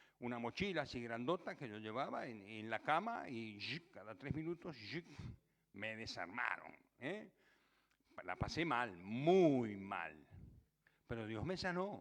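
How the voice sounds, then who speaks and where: With a medium pitch and very wide pitch swings, a man speaks at a fairly slow pace, broken by long, frequent pauses. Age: 70s. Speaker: pastor. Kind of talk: personal testimony in sermon.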